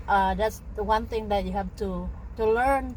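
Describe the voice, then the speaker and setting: A woman with a Filipino accent, talking at a very slow pace. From Philippines, Visayas. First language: Bisaya. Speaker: vlogger. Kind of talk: casual chat.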